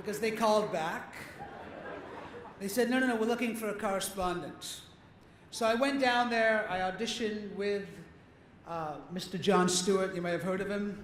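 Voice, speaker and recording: Despite a moderate pace, this man leaves long, frequent pauses, speaking at a high pitch with fairly even intonation over noticeable background noise. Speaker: actor and comedian. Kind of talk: comedic award acceptance speech. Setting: live event with audience.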